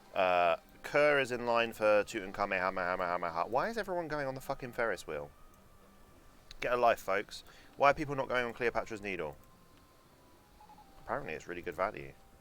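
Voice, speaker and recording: A man with a London accent at medium pitch and a moderate pace, very wide pitch swings and long, frequent pauses. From London, England. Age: 20s. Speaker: video game streamer. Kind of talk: casual live-stream gaming commentary. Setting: live stream.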